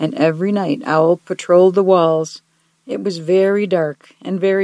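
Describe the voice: Someone reads aloud plainly against a quiet background.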